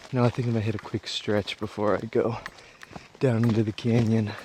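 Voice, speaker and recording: Noticeable background noise fills the recording. Through it, a man talks at a fairly quick pace. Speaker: travel vlogger. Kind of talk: casual vlog narration. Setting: outdoors. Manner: kept relatively quiet.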